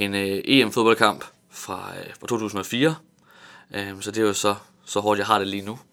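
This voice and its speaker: Very clean recording, silent background: a man talks at a fairly slow pace. His pitch is fairly low and his intonation fairly even. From Tanzania and Vejle area, Denmark. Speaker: theology graduate giving devotionals. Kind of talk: radio interview. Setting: radio studio. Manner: halting, many fillers and repetitions.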